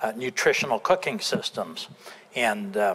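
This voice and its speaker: Noticeable background noise behind a man's lively intonation. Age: 70s. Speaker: nutrition company president and author. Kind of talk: interview. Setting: TV studio.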